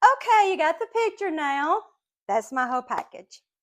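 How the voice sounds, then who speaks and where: A woman talks at a moderate pace in a Southern US accent, her pitch swinging very widely. The recording is very clean, with a silent background. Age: 60s. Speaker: podcast host, Bible teacher. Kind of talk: personal testimony. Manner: casual, hesitant with fillers.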